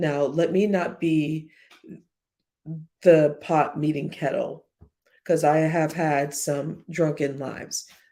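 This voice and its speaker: A woman speaks at a very slow pace with a very deep, low pitch and a dark, mellow tone. Her intonation is monotone and flat, with long, frequent pauses. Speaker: live streamer. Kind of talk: casual live stream chat.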